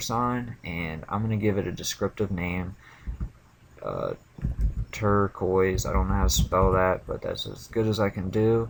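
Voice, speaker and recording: A man speaks in a normal speaking voice, pitched fairly low. His pitch varies in an ordinary way at a moderate pace. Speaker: programming video creator. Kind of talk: screencast demo. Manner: casual, with filler words.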